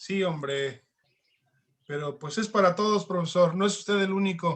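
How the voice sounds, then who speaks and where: The man's pitch is high, with ordinary pitch variation. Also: moderate pace. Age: 60s. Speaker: martial arts master. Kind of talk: interview.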